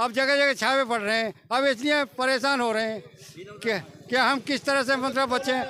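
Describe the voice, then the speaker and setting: A man projects a raised, extremely high-pitched voice with a bright, sharp tone. His loudness stays very even and his intonation fairly even. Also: moderate pace. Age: 70s. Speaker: member of the public interviewed on the street. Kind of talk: vox pop interview.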